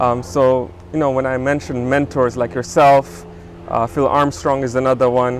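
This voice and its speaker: With an East African accent, a man talks at a moderate pace and medium pitch, with ordinary pitch variation and noticeable background noise. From Tanzania (Dar es Salaam), moved to US at 16. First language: Swahili. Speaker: business co-founder and show host. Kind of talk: casual interview chat. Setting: outdoors in a backyard.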